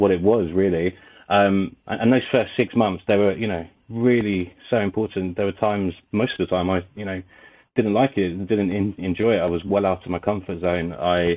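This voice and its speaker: With a British accent, a man speaks at a fairly low pitch and with fairly even intonation. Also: moderate pace. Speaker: recruitment agency owner. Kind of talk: podcast interview. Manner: halting, repeated words.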